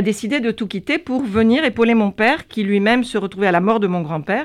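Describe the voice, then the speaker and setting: The background is quiet. A woman talks with lively intonation. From France, Gironde (Pauillac, Médoc). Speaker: winegrower and business owner. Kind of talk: interview. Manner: halting.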